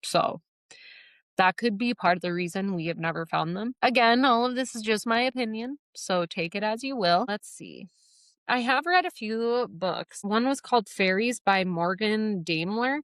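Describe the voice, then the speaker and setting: With a Midwestern accent and lively intonation, a woman speaks at a moderate pace and fairly high pitch in a dry, close sound with no echo, over a very clean recording with a silent background. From US Midwest. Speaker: podcast host. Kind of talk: casual podcast monologue. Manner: chatty, filler-heavy.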